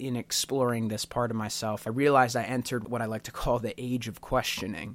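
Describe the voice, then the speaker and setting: On a very clean recording with a silent background, a man talks at a fairly quick pace. His voice is unremarkable, at a medium pitch, with fairly even intonation. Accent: American. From Pennsylvania, Bucks County. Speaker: podcast host. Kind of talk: personal monologue.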